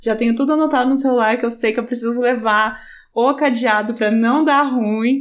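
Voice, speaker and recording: In a very clean recording with a silent background, a woman with an ordinary speaking voice speaks at a moderate pace with ordinary pitch variation. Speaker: podcast host. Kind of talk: casual interview chat. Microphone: new microphone.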